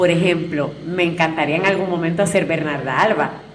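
A woman talks at a moderate pace in a fairly low pitch. Room echo is audible, and background noise is noticeable. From Puerto Rico, Utuado. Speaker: actress. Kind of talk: interview. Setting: café.

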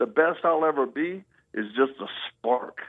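With a Southern US accent, a man speaks with ordinary pitch variation. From US South (Louisiana, Mississippi, Texas). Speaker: ministry founder and Marine veteran. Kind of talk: interview testimony.

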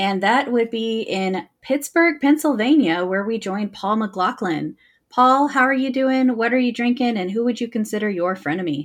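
Against a quiet background, an unremarkable speaking voice moves at a moderate pace with hardly any pauses. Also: woman, fairly high pitch for a woman. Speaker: trivia host. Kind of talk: trivia game hosting.

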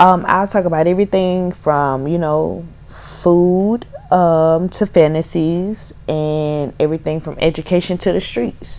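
A woman's intonation stays fairly even amid noticeable background noise. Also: fairly low pitch for a woman. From Mississippi. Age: 20s. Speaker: podcast host. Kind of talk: casual solo podcast intro.

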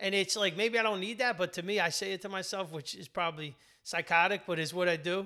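The voice is raised and projected, with a bright, sharp tone and fairly even intonation. It moves at a very fast pace on a very clean recording with a silent background. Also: man, high pitch for a man. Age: 50s. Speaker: business executive and author. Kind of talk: casual interview.

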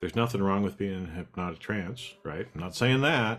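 At a moderate pace, a man talks in an unremarkable speaking voice, fairly low in pitch, with ordinary pitch variation. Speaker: podcast co-host. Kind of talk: casual conversational podcast.

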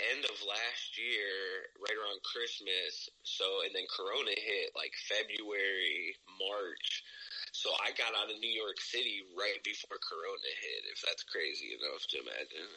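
A man with a Midwestern US accent talks at a fairly slow pace against noticeable background noise. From Ohio, US Midwest. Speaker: rapper. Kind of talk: casual interview chat. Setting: video or phone call. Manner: casual, profane, laughs often.

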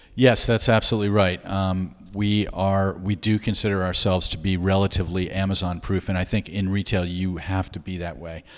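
On a very clean recording with a silent background, a man with a very deep, low pitch talks at a fairly quick pace, with fairly even intonation and hardly any pauses. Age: 60s. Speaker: art gallery owner. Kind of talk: interview conversation.

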